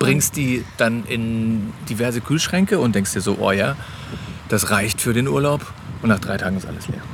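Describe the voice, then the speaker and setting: Noticeable background noise beneath a male speaker's lively intonation. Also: medium pitch for a man, moderate pace. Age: 30s. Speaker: podcast host, father of ten. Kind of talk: casual chat. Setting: on holiday on a Danish island.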